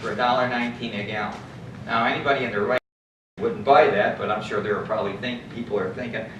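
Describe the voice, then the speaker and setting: A man talks at a very fast pace and a medium pitch, with long, frequent pauses. There is audible room echo. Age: 60s. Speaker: local resident giving public comment. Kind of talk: public comment at council meeting.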